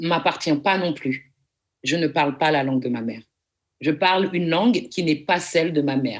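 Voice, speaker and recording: A woman with a plain, everyday voice speaks at a moderate pace, fairly low in pitch, with lively intonation. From France, Paris. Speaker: lecturer. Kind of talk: lecture. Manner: formal.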